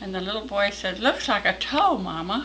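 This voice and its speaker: A woman's medium-pitched voice in an American accent at a moderate pace, over noticeable background noise. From Texas. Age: 80s+. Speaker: storyteller. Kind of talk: storytelling.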